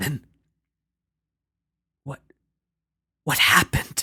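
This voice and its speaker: A man performs a put-on character voice that sounds strained. The sound is dry and close, with no echo. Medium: read story. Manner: stammering.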